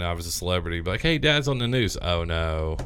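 A man talks fairly quickly with lively intonation and a very deep, low pitch. Room echo is audible. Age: 30s. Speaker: podcast host. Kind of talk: casual chat. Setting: studio.

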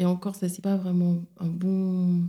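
Her voice is somewhat breathy. This woman speaks in a dark, mellow tone. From Senegal, Dakar. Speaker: psychologist and sexologist. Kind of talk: interview.

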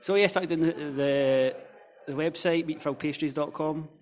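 A man in a Scottish accent talks at a fairly quick pace. His pitch is fairly high, with ordinary pitch variation. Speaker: football blogger. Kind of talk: casual chat.

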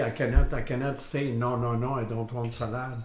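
A man talks at a medium pitch, and room echo can be heard. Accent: French. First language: French. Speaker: host's partner. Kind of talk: casual chat. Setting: dinner table at home.

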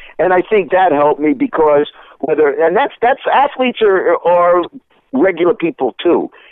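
With a high pitch and very wide pitch swings, a man speaks at a moderate pace in very even loudness. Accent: New York. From Brooklyn, New York. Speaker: sports broadcaster. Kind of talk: radio interview.

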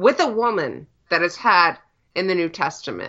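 Lively intonation and a moderate pace mark a normal speaking voice. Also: woman. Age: 20s. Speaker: church member guest. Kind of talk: casual chat.

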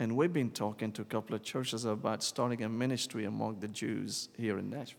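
A man with an Arabic accent talks very fast, with hardly any pauses and vocal fry. His intonation is fairly even, and the recording is very clean with a silent background. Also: medium pitch for a man. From Syria, Damascus. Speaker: church planting minister. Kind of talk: testimony.

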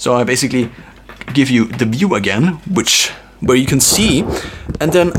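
Noticeable background noise sits behind a man speaking at a moderate pace with lively intonation. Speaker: tech video creator. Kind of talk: tutorial. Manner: slightly louder, careful pronunciation.

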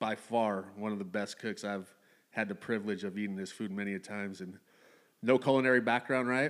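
An unremarkable speaking voice from a man, fairly low in pitch with fairly even intonation. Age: 30s. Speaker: podcast host. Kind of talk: casual chat. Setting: studio.

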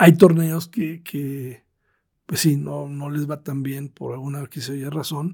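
Speaking very slowly, a man with a fairly high pitch and a dark, mellow, somewhat breathy tone keeps his intonation fairly even while his loudness swings widely. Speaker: tennis tournament promoter. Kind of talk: interview.

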